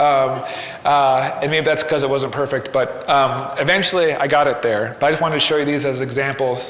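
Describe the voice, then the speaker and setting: Noticeable background noise and audible room echo surround this recording. The man's voice sits fairly high, and his intonation stays fairly even. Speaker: graphic novelist giving a talk. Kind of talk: presentation to live audience. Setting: gallery with live audience. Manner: fast; hesitant, many fillers.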